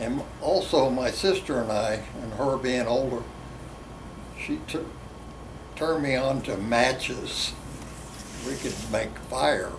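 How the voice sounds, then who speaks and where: Over noticeable background noise and audible room echo, a medium-pitched man speaks very slowly with ordinary pitch variation and long, frequent pauses. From West Virginia. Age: 80s+. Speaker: drag racer. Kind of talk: interview storytelling.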